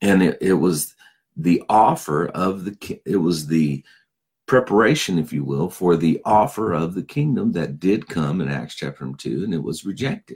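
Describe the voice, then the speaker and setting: A man's very deep, low voice with vocal fry, lively intonation and a moderate pace. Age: 50s. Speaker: pastor and Bible teacher. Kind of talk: Bible teaching. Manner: casual, with fillers.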